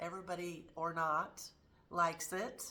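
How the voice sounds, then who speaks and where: A woman's bright, sharp voice at a medium pitch. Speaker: lifestyle vlogger. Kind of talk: personal storytelling vlog. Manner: casual, conversational.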